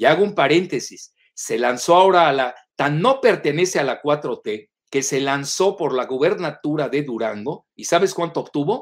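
An unremarkable speaking voice, fairly slow in pace, with lively intonation. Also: man. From Mexico, Yucatán. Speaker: political analyst. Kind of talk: interview.

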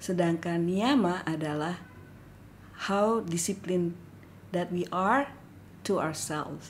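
At a very slow pace, a woman speaks in a fairly low pitch with ordinary pitch variation. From West Sumatra, Indonesia (Padang). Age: 50s. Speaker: yoga school head. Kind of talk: casual chat; podcast introduction.

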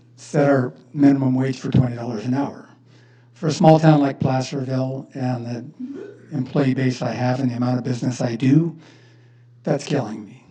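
Audible room echo surrounds this recording. A man talks at a moderate pace and medium pitch. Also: big swings in loudness. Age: 60s. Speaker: business owner speaking at public comment. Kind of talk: public comment at city council meeting. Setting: city council chamber.

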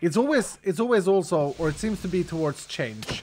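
Here is a man talking with a Swedish accent. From Sweden. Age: 40s. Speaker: gaming streamer. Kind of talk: live stream chat while gaming. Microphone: studio mic.

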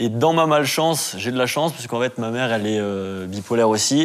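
Using ordinary pitch variation, a man talks at a moderate pace. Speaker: discussion participant. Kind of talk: discussion on a talk show. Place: home room. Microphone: lapel.

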